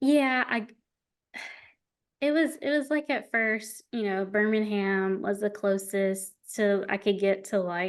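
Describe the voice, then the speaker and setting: A woman with an Alabama accent at a very slow pace, medium pitch, ordinary pitch variation, long and frequent pauses, and a quiet background. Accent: Southern US (Alabama). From rural Alabama. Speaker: wedding videographer. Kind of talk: podcast interview.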